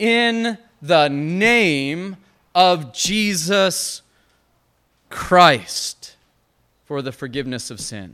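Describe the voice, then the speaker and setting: A man's high-pitched voice, bright and sharp, with very wide pitch swings, a very slow pace and long, frequent pauses. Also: big swings in loudness. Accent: American. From Montana. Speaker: Baptist pastor. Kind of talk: sermon.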